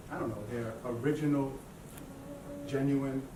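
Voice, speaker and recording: A man talks at a moderate pace in a medium pitch with monotone, flat intonation. Audible room echo and noticeable background noise surround his voice. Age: 50s. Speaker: motivational speaker. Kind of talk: conference talk.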